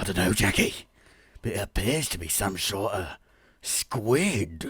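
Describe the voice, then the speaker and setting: A man uses a raspy put-on character voice, fairly low in pitch and at a fairly slow pace. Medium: read story. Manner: cheeky, energetic.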